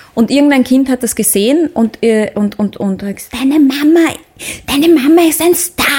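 Noticeable background noise behind a woman's high voice, moderate in pace. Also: lively intonation. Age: 30s. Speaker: singer and actress. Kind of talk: casual interview. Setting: studio. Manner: halting, many fillers.

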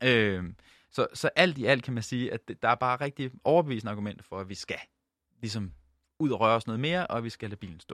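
A man's medium-pitched voice at a very fast pace, with lively intonation and long, frequent pauses, dry and close with no echo, on a very clean recording with a silent background. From Jutland, Denmark. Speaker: doctor and researcher. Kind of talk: interview. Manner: halting.

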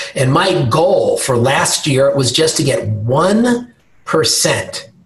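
There is noticeable background noise as a man speaks with an American accent. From New York. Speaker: health system executive and physician. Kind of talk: interview.

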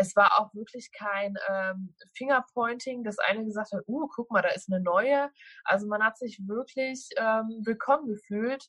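This woman has a normal speaking voice with a fairly high pitch, ordinary pitch variation and a fairly slow pace. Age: 20s. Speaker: social media food influencer. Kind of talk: interview.

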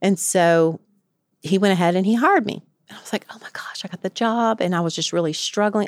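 On a dry, close recording with no echo, a woman with a Southern US accent speaks at a medium pitch with ordinary pitch variation. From rural West Tennessee. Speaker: addiction treatment clinical director, recovery alumna. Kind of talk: interview, personal testimony. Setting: studio.

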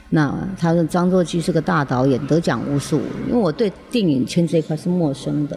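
With music in the background, a woman speaks at a very deep, low pitch with ordinary pitch variation. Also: moderate pace. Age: 50s. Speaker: actress. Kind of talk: casual interview. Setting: open studio.

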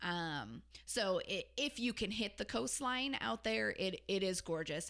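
At a fairly slow pace, this voice carries vocal fry and very wide pitch swings. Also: woman. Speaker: podcast co-host. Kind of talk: casual travel chat.

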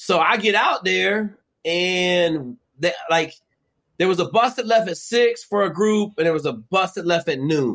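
Loud and animated, a man with an American accent talks at a high pitch with lively intonation. His pace is fairly slow. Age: 50s. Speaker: former Navy SEAL and survival show guest. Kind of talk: casual interview chat with heavy profanity. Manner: loud, profane, animated.

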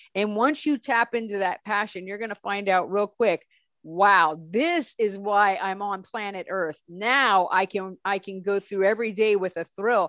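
In an American accent, a woman with a medium pitch, an animated tone and ordinary pitch variation speaks with hardly any pauses, in a dry, close sound with no echo over a quiet background. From Northern California. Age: 40s. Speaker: app founder. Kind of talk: interview.

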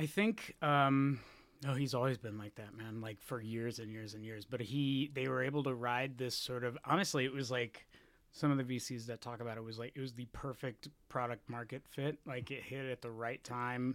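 In a plain, everyday voice with an American accent, a man speaks at a moderate pace and medium pitch with fairly even intonation, on a very clean recording with a silent background. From Texas. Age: 30s. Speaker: journalist. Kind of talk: interview.

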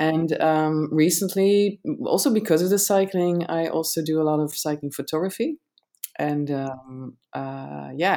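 Her pitch very deep and low, a woman in a Dutch accent speaks with ordinary pitch variation. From Netherlands. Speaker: cycling content creator. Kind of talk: casual interview chat.

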